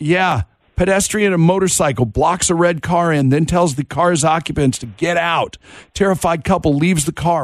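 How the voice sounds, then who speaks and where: Over a quiet background, a man speaks at a moderate pace in a plain, everyday voice. His pitch is fairly high, with ordinary variation. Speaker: radio host. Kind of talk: casual chat on a morning radio show. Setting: radio studio.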